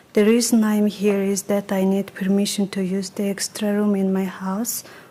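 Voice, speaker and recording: Her pitch is medium. The woman talks at a fairly slow pace. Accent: non-native. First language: not English. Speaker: permit petitioner, cosmetologist. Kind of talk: public testimony. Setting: village board meeting. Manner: halting.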